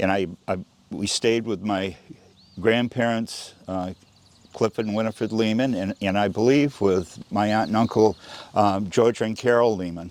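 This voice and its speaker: Over noticeable background noise, the speaker uses an American accent, a moderate pace and fairly even intonation. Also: man, fairly low pitch for a man. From Maine, US (Round Pond). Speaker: oral history interviewee. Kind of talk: interview. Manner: halting, with repetitions.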